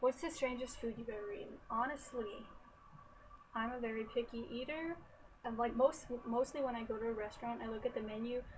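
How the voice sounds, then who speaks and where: A soft-spoken woman's high voice in an American accent, with fairly even intonation at a moderate pace, over noticeable background noise. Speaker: college student. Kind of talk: casual talk to camera. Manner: quiet, soft-spoken.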